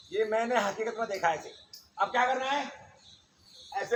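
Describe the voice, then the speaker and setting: A man's high voice with ordinary pitch variation. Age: 60s. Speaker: yoga teacher. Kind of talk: yoga class instruction. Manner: animated; informal.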